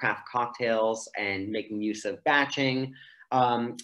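In a quiet setting, a man speaks fairly slowly with monotone, flat intonation. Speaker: presenter. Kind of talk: webinar presentation. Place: home room. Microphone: video call.

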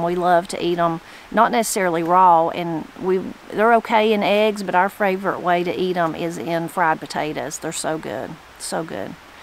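In a Southern Appalachian accent, a woman with a fairly low pitch and ordinary pitch variation talks at a moderate pace, the sound dry with no echo and light background noise. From western North Carolina mountains (Brasstown); western North Carolina. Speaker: YouTuber on Appalachian language; channel host. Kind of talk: reading aloud with commentary. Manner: casual, conversational. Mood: warm, relaxed. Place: garden. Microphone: phone near.

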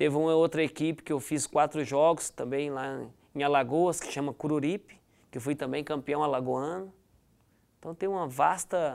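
This man has a plain, everyday voice, pitched fairly high for a man. He speaks at a moderate pace with fairly even intonation. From Goiás, Brazil (Goianésia); Goiás, Brazil. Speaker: former footballer; guest. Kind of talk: interview. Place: studio. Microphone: lapel.

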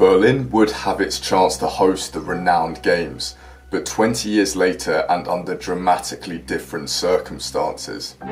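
Faint music plays in the background as a man speaks at a moderate pace with hardly any pauses. His pitch is very deep and low. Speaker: presenter. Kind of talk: documentary narration. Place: home room.

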